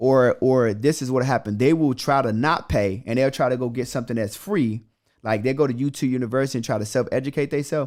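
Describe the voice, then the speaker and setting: Delivered at a very fast pace, the animated voice comes through on a very clean recording with a silent background. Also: man, medium pitch for a man, ordinary pitch variation. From Chicago, south side. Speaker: credit repair entrepreneur and mentor. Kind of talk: podcast interview.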